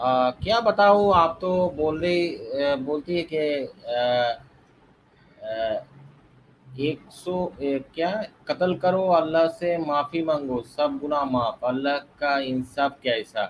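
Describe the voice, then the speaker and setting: Pitch varies in an ordinary way, spoken with a non-native accent. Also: man, fairly high pitch for a man. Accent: non-native Hindi speaker. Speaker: debate caller. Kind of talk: debate. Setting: online live stream. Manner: halting.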